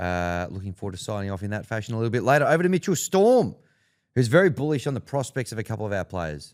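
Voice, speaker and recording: On a very clean recording with a silent background, a man with an Australian accent talks very fast at medium pitch, his pitch swinging very widely. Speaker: sports podcast co-host. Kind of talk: casual chat.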